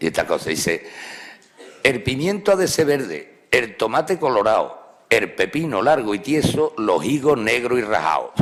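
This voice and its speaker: In an Andalusian accent, a man of medium pitch speaks at a moderate pace with very wide pitch swings and very even loudness, over noticeable background noise. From Andalusia, Spain. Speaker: professor of Spanish language and literature. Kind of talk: humorous public lecture. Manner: humorous, conversational.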